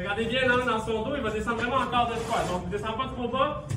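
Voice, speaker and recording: Over noticeable background noise, a man talks fairly quickly. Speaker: fitness coach. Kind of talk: exercise class instruction. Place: gym.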